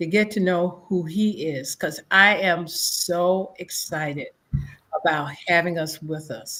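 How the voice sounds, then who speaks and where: On a very clean recording with a silent background, a woman of fairly low pitch speaks at a very slow pace with ordinary pitch variation. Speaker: show host. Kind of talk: interview.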